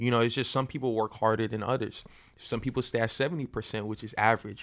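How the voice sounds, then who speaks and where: In a very clean recording with a silent background, a man with an unremarkable speaking voice and an American accent talks at a fairly quick pace with fairly even intonation. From Florida (Boynton Beach, Palm Beach County). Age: 20s. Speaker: painter. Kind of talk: casual chat.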